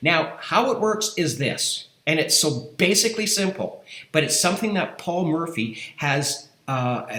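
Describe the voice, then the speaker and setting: A man's high-pitched, lively voice amid noticeable background noise and audible room echo. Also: fairly slow pace. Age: 60s. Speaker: affiliate marketing youtuber. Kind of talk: screen-share tutorial pitch. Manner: halting, many fillers and repeats.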